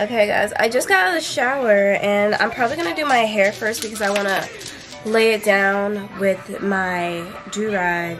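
A woman speaks at a moderate pace with ordinary pitch variation. Clear music plays in the background. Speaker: vlogger. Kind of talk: casual vlog chat. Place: home room. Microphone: phone near.

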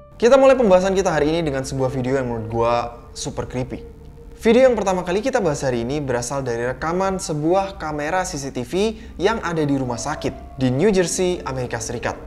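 A man at a very fast pace with lively intonation, over light background noise. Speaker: horror video host. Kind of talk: casual commentary. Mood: storytelling, suspenseful. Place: home room.

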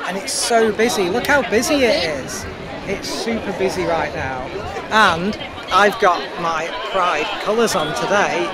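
Over crowd noise in the background, a woman's voice comes through dry, with no echo. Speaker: vlogger. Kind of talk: casual vlog chat. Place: street. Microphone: lapel.

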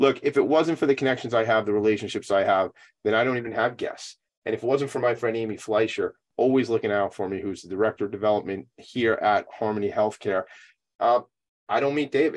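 With ordinary pitch variation, a male speaker talks at a very fast pace. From Long Island, New York; New York. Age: 40s. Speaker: nonprofit talk show host. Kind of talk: casual interview. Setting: video call from home attic. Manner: animated. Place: home room. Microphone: video call.

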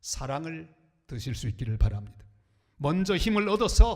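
A man is speaking. He goes at a moderate pace. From Korea, northern Gyeongbuk (Andong). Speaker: pastor. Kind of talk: sermon. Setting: church.

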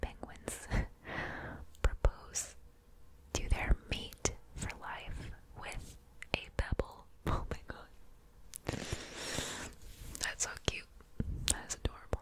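A woman whispers at a very slow pace. Her speech is broken by long, frequent pauses. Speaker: ASMR creator. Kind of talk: ASMR whisper video. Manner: whispered, soft, casual. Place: home room. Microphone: studio mic.

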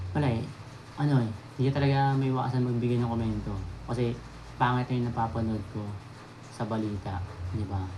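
A man talks at a very fast pace with long, frequent pauses and fairly even intonation. His pitch is medium, and background noise is noticeable. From Manila, Philippines. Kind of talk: angry rant. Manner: scolding, emphatic.

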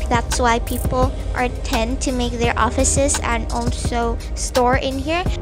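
A woman talks fairly slowly while clear music sounds behind her. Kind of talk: casual vlog chat. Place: car. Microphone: phone near.

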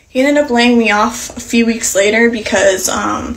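A woman is heard. Her pitch variation is ordinary. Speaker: content creator. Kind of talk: casual vlog chat. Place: bathroom. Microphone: phone near.

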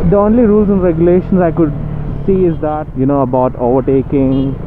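The man speaks at a moderate pace with ordinary pitch variation. His sound is dry with no echo, and music plays in the background. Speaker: motovlogger. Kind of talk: casual vlog chat. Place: motorbike.

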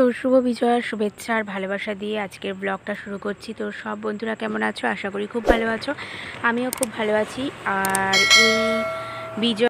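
Noticeable background noise sits behind this woman's voice. Her pitch is fairly high and her intonation fairly even. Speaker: vlogger. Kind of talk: vlog narration. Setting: in a car.

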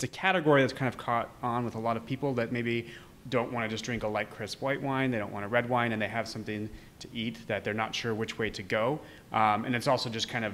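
Talking at a very fast pace with fairly even intonation, a man is heard over light background noise. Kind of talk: interview answer. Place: bar. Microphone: handheld.

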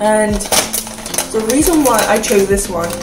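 Clear music sits in the background. The speaker keeps a moderate pace. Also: woman. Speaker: snack reviewer. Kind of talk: casual vlog chat. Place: kitchen. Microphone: phone near.

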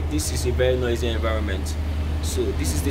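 A man rattles along at a very fast pace, pitch varying in an ordinary way, amid loud background noise. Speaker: tech reviewer. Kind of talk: tutorial. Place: street. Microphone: phone near.

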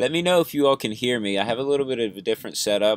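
A man with ordinary pitch variation. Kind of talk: casual live stream chat. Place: home room. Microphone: webcam.

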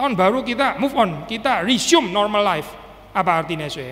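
A man talks fairly quickly, his pitch swinging very widely. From Indonesia. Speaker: pastor. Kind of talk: sermon. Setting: church. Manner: casual, code-switching with English. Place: church. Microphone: podium.

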